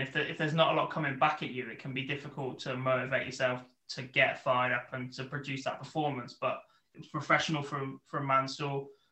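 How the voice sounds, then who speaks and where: Fairly quick and fairly high-pitched, a man with a British accent talks with fairly even intonation. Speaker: podcast host. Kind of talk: casual chat.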